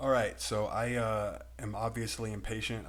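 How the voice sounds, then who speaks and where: Over music in the background, a man with an American accent speaks at a fairly slow pace with audible room echo. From Texas. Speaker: crypto YouTuber. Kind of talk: video commentary. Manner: relatively slow.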